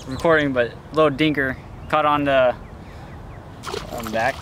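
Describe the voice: Over faint background noise, a man speaks at a medium pitch and a moderate pace, his fairly bright tone showing ordinary pitch variation.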